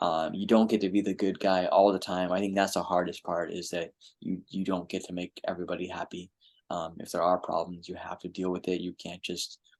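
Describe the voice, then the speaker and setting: A man's very deep, low voice at a fairly quick pace against a quiet background. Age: 30s. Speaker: librarian. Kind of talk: Q&A talk. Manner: halting.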